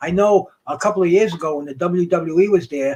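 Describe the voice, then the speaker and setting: A man speaks in a high voice at a moderate pace. His pitch varies in an ordinary way. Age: 60s. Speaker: boxing podcast host. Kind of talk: casual chat. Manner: halting, repetitive.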